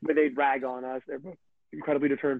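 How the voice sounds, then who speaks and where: A man's fairly high-pitched voice in a monotone, flat intonation. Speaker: professional footballer. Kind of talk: interview. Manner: loud; high energy.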